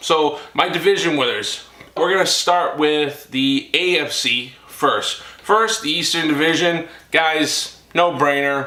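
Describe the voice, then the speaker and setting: In a recording with noticeable background noise and audible room echo, a man with a fairly high pitch speaks very slowly. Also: ordinary pitch variation. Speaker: sports YouTuber. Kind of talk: casual monologue.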